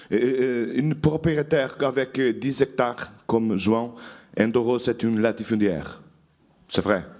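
Very slow and very even in loudness, a man with a Portuguese accent talks at a medium pitch. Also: ordinary pitch variation. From Portugal, Douro valley. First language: Portuguese (speaking French). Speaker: journalist. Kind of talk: lecture.

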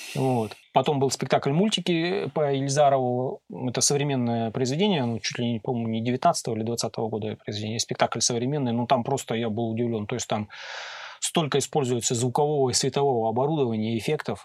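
With a normal speaking voice, a man talks at medium pitch and a fairly quick pace, with ordinary pitch variation and a dry, close sound with no echo. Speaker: sound engineer. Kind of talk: casual chat. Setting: studio.

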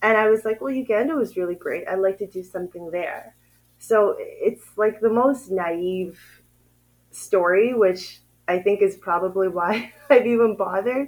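A woman speaks in an ordinary speaking voice at medium pitch and a moderate pace, with a Canadian accent and ordinary pitch variation. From Canada, Ottawa. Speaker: renewable energy company founder. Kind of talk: interview.

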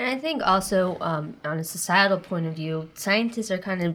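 A plain, everyday voice from a woman at medium pitch, moderate in pace with ordinary pitch variation, on a very clean recording with a silent background. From rural eastern Oregon. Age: 20s. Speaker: first-year PhD student. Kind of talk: casual interview.

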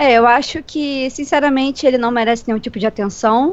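A woman speaks in a high pitch at a moderate pace. Her pitch varies in an ordinary way. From Rio de Janeiro, Brazil. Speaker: podcast co-host. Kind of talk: casual chat. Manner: animated.

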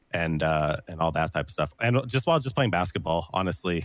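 His pitch is very deep and low. The man moves along at a fairly quick pace. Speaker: streamer. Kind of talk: casual chat. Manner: energetic.

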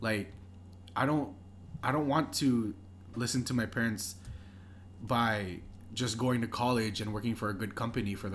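At a moderate pace, a man talks in a somewhat breathy, fairly low voice with ordinary pitch variation. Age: young. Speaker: podcast co-host and clothing shop worker. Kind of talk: casual chat.

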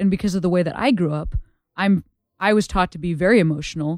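In a plain, everyday voice, a woman with an American accent talks fairly quickly at a medium pitch with ordinary pitch variation, on a very clean recording with a silent background. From US Midwest, Chicago suburbs. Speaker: stand-up comedian. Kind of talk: casual chat.

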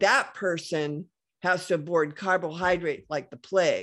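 A woman speaks in a normal speaking voice, fairly low in pitch, at a moderate pace with fairly even intonation. The background is quiet. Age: 60s. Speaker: inventor and health product business owner. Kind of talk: interview conversation.

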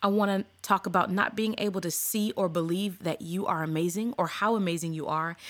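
Speaking with an American accent, a woman has a plain, everyday voice at a medium pitch, lively intonation and a fairly quick pace, in a very clean recording with a silent background. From California. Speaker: podcast host. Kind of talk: solo podcast monologue. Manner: casual, conversational.

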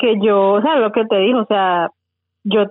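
A woman speaks with a Valle del Cauca Colombian accent. Her pace is fairly slow and her intonation fairly even. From Colombia, Tuluá, Valle del Cauca. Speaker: project founder, accountant. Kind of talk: interview. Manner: halting, repeats words.

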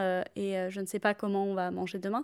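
On a very clean recording with a silent background, a woman talks at medium pitch. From southern France. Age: 30s. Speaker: activist, former team manager. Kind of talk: interview.

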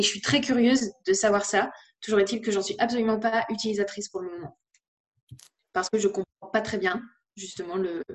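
Her voice at a medium pitch, a woman speaks with fairly even intonation and long, frequent pauses. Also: fairly quick pace. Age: 20s. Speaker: content creator and author. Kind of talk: interview. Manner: halting.

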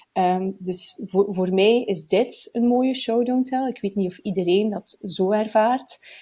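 A woman's somewhat breathy voice, fairly high in pitch with a dark, mellow tone and ordinary pitch variation, very slow yet with hardly any pauses. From Flanders, Belgium (Bruges). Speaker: writing podcast co-host. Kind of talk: casual chat. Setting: at a kitchen table.

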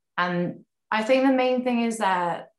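At a fairly slow pace, a woman with a British accent speaks with ordinary pitch variation. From Britain. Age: 20s. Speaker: professional tennis player. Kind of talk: casual chat.

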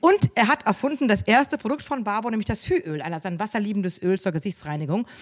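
The woman's speech races along at a very fast pace. Her pitch rises and falls over a very wide range. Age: 50s. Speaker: family business co-owner. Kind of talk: live interview with audience. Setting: studio with live audience. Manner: hesitant, many fillers.

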